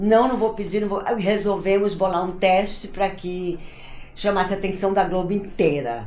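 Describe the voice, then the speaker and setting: Noticeable background noise and audible room echo surround a woman's voice. She speaks at a medium pitch and a moderate pace with fairly even intonation. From Brazil, Ceará. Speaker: actress, writer and theatre director. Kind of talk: interview, personal storytelling.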